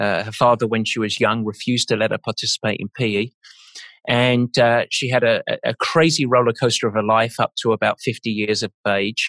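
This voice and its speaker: A man with an English accent at medium pitch, moderate pace and fairly even intonation, in a very clean, dry, close recording with a silent background and no echo. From England. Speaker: endurance sports coach. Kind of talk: interview conversation.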